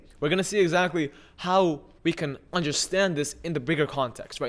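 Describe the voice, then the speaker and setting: A man with an unremarkable speaking voice and an American accent talks fairly quickly in a fairly high pitch with ordinary variation, recorded very cleanly with a silent background. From US West Coast, Los Angeles. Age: 20s. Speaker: online educator. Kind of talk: lecture. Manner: casual, conversational.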